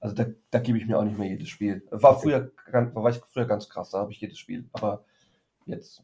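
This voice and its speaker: Fairly quick and somewhat breathy, a man's dark, mellow voice sits at medium pitch with fairly even intonation but big swings in loudness. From Frankfurt, Germany. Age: 30s. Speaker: financial advisor and blogger. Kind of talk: casual interview. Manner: hesitant, many fillers.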